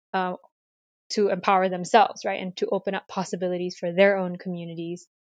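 A woman's medium-pitched, monotone, flat delivery over a quiet background. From Malaysia, Kuala Lumpur. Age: 30s. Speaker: university cultural center director. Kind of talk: interview.

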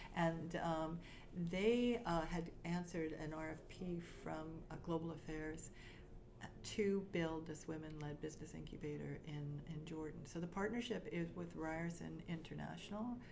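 A woman's fairly low voice at a fairly slow pace, ordinary pitch variation, and audible room echo. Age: 60s. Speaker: startup consultant and coach. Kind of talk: interview.

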